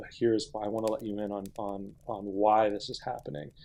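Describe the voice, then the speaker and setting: A man's dark, mellow tone comes through at a moderate pace. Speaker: podcast co-host. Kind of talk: casual chat. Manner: loud; halting.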